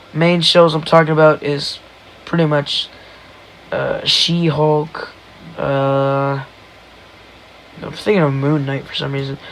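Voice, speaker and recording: Over noticeable background noise, a man with a fairly high pitch speaks very slowly in a monotone, flat way, with long, frequent pauses. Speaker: solo podcaster. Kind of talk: casual monologue.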